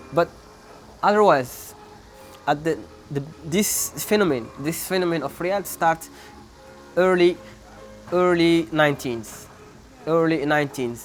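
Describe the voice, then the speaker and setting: Music plays behind a man with a Moroccan accent speaking at a fairly high pitch and fairly slow pace. His pitch varies ordinarily, and he leaves long, frequent pauses. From Morocco, Sahara. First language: not English. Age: 20s. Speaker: PhD student and real estate agent. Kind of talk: interview answer.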